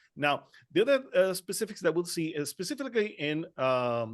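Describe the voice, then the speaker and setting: A man with a Spanish accent speaks at a moderate pace over a quiet background. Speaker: trichologist. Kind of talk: panel discussion. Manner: halting.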